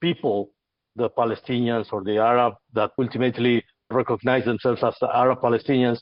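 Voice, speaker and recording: This is a man with a medium pitch. He speaks with an Argentine accent. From Argentina. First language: Spanish. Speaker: podcast host. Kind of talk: heated debate. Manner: halting, many repetitions.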